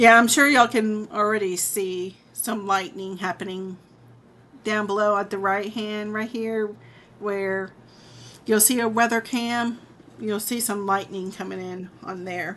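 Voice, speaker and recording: A woman with an American accent and an unremarkable speaking voice, medium pitch, fairly even intonation and a fairly slow pace. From southern Illinois (Murphysboro). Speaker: weather streamer. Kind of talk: live weather commentary.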